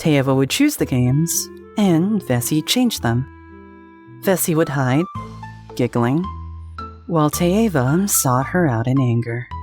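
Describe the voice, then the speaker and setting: The speaker talks at a fairly slow pace while music plays in the background. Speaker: voice actor. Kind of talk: dramatic fantasy narration.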